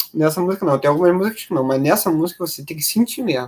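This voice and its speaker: Using lively intonation, a man speaks in a high pitch. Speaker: music review podcaster. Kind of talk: casual music analysis commentary. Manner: halting, repeats words; animated.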